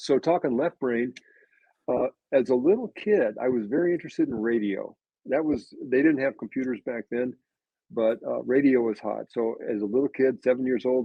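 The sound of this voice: With an American accent, a man of medium pitch talks at a moderate pace with ordinary pitch variation, vocal fry and a slightly husky edge, recorded dry and close with no echo.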